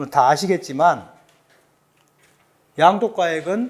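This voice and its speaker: He talks at a very slow pace. The man has a slight Jeolla accent. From South Jeolla, Korea (Suncheon). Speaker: tax accountant, lecturer. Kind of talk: lecture.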